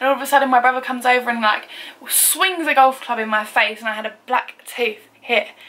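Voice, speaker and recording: There is noticeable background noise behind this woman. She speaks with an English accent and fairly even intonation. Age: 20s. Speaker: beauty and lifestyle vlogger. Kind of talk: casual chat. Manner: loud; chatty, frequent 'like' fillers.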